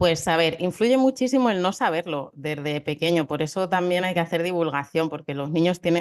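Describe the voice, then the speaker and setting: Speaking at a fairly quick pace, a woman has a fairly low pitch and an unremarkable speaking voice. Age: 40s. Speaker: psychologist. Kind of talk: interview.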